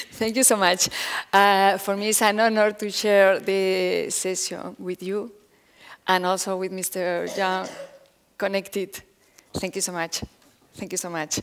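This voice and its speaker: A woman with a Spanish accent speaks at medium pitch in a monotone, flat intonation, with long, frequent pauses, on a very clean recording with a silent background. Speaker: foundation director. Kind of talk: conference talk. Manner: halting.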